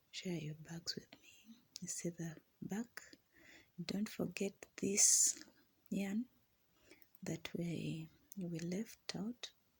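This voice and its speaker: A woman with a non-native accent speaks at a very slow pace with long, frequent pauses, her somewhat breathy voice at medium pitch with ordinary pitch variation. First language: not English. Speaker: crochet instructor. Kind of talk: tutorial. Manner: halting.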